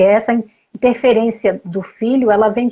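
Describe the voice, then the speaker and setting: A woman speaks at a fairly slow pace, her fairly high voice somewhat breathy. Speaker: family therapist. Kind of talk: interview.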